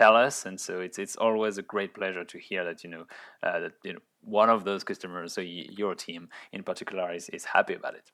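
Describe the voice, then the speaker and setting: Over a silent background in a very clean recording, a man with a French accent talks at a fairly quick pace in a fairly low, bright, sharp voice, his intonation fairly even but his loudness swinging widely. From France, Orleans. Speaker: startup founder and CEO. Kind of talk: interview. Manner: halting, many repetitions.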